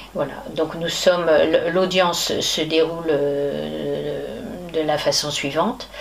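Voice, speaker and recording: A woman talks at a very slow pace. There is noticeable background noise. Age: 70s. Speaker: lay juvenile court judge. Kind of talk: interview. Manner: hesitant, many fillers.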